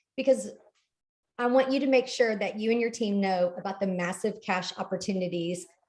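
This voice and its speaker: The speaker moves at a moderate pace. Pitch variation is ordinary. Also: woman. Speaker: MLM team leader. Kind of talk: team training call. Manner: animated.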